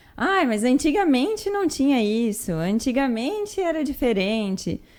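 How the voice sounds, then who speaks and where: A woman's high voice swings very widely in pitch as she talks fairly slowly. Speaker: nutritionist and podcast host. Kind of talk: casual talk to camera, educational podcast.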